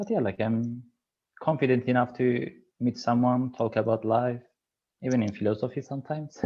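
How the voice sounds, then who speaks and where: The speaker has a Kurdish accent and fairly even intonation. The pace is fairly quick, broken by long, frequent pauses. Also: man, medium pitch for a man. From Kurdish region of Turkey. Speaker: PhD researcher. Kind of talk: casual chat.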